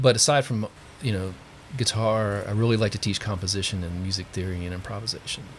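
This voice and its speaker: His pitch sits fairly low, and his intonation stays fairly even. The man sounds somewhat breathy. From Pennsylvania. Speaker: guitar teacher. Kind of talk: casual chat.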